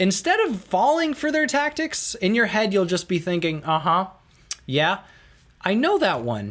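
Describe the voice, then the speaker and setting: Very wide pitch swings mark a man's animated tone. He keeps a moderate pace. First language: Russian. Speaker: YouTuber, book reviewer. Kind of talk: video monologue, book recommendations.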